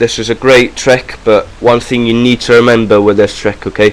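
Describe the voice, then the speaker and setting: A man with a Welsh accent talks at a moderate pace in a monotone, flat intonation. Noticeable background noise sits behind him. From Wales. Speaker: magic tutorial youtuber. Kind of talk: tutorial. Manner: casual, hesitant with fillers.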